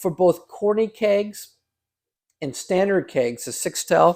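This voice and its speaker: Male voice, pitch moving in a normal range, captured very cleanly against total silence. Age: 60s. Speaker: cider maker. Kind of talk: casual video tutorial. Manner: casual and conversational.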